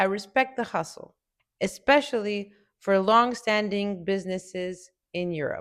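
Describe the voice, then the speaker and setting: On a very clean recording with a silent background, a woman with a Romanian accent speaks at a fairly slow pace. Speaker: business consultant, entrepreneur. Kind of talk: video essay commentary.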